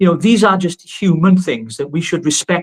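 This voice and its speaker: A man talks at a fairly quick pace in a dry, close sound with no echo. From Wales. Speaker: political activist. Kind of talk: live political discussion. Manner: animated.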